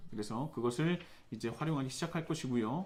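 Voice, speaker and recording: The man's fairly high voice moves at a rather brisk tempo, its intonation full of energy. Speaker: pastor. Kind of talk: church announcements. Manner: fast; hesitant fillers.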